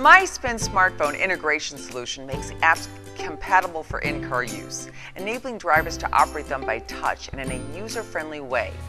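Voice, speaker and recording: A woman speaks at a fairly quick pace with big swings in loudness, clear music playing in the background. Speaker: voice actor, narrator, presenter, host. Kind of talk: corporate narration, product description read. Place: hall. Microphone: lapel.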